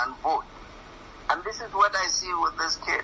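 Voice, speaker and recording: A man with a northern Nigerian accent speaks at a moderate pace over noticeable background noise. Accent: northern Nigerian (Hausa) English. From northern Nigeria, Katsina. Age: 60s. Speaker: professor. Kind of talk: radio interview. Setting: radio studio. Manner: animated.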